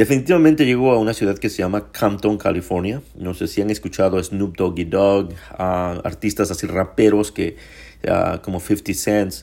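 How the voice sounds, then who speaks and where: On a very clean recording with a silent background, a man's dark, mellow voice sits fairly low with ordinary pitch variation. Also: moderate pace. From Mexico, Puebla. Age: 40s. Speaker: podcaster sharing faith story. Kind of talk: personal testimony monologue.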